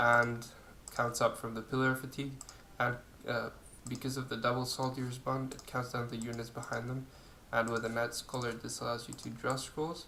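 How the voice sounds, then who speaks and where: A man's medium-pitched voice, monotone and flat, with audible room echo. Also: moderate pace. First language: not English. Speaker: video game youtuber. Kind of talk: gameplay tutorial. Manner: hesitant, many fillers.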